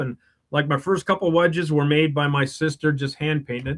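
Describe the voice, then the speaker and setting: In a dry, close sound with no echo, a man with a Wisconsin accent talks at a fairly quick pace in a fairly high pitch. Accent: Upper Midwest (Wisconsin). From Wisconsin, Madison area. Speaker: superfan guest. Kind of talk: casual chat.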